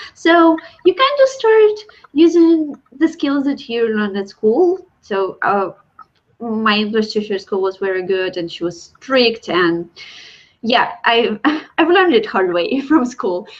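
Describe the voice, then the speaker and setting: A woman with a Russian accent speaks at a fairly slow pace. Her fairly high voice moves in very wide pitch swings. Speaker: illustrator. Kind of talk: casual chat.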